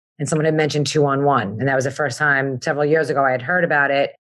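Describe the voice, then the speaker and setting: Very deep and low in pitch, a woman speaks with an American accent. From Long Island, New York. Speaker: community member. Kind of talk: panel discussion.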